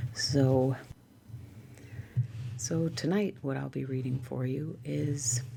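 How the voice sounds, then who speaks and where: A woman with a very deep, low voice speaks at a very slow pace. She leaves long, frequent pauses. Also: ordinary pitch variation. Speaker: ASMR content creator. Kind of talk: ASMR reading of a dictionary. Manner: soft, calm, regular to slow pace.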